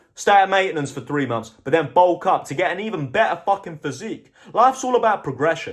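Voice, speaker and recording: A man with a British accent and a high voice races along at a very fast pace with hardly any pauses, his animated tone marked by very wide pitch swings. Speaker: motivational vlogger. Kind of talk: motivational monologue.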